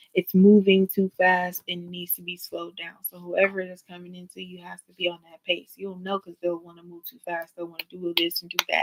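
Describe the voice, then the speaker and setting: Talking at a fairly quick pace, a woman at medium pitch keeps a monotone, flat intonation while her loudness swings widely. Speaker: tarot reader. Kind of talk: live tarot reading. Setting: livestream. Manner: fast.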